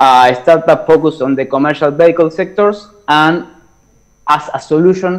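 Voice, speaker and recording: A man with a Spanish accent speaks at a moderate pace with ordinary pitch variation. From Argentina. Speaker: startup founder pitching a challenge. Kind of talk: pitch presentation. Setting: video call. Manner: halting.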